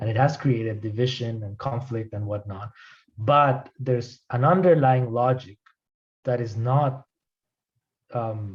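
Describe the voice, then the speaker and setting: Fairly slow, somewhat breathy speech with long, frequent pauses and ordinary pitch variation. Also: man, medium pitch for a man. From Colombia. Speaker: anthropologist, lecturer. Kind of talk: academic Q&A answer. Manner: hesitant, many fillers and repetitions.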